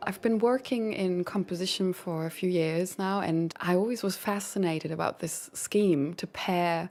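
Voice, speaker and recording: A woman with a German accent, medium pitch, moderate pace and fairly even intonation. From Germany. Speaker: composer. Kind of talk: interview.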